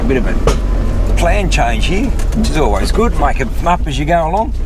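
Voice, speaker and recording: A man's voice, dry with no echo, with music in the background. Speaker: 4x4 travel vlogger. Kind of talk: casual vlog chat. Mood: upbeat, relaxed. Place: car.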